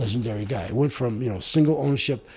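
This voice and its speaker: A man talks at a medium pitch with ordinary pitch variation and a somewhat breathy quality. The recording is very clean, with a silent background. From US, Italian-American household. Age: 70s. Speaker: mayor and former broadcast executive. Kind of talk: interview.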